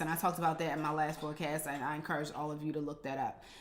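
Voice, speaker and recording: A woman is speaking here. You can hear echo from the room. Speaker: business strategy consultant. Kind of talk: live stream teaching. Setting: live stream on Instagram. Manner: fast.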